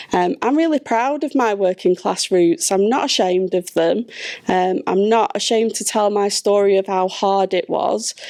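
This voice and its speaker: At a moderate pace and medium pitch, a woman speaks with a dark, mellow tone in a dry, close sound with no echo. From northern England, Blackburn, Lancashire. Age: 40s. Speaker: charity chief executive. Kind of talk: panel discussion.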